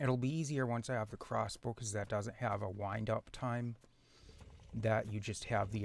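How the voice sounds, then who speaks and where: A man is speaking. His voice has vocal fry. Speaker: gaming video creator. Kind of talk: gameplay commentary.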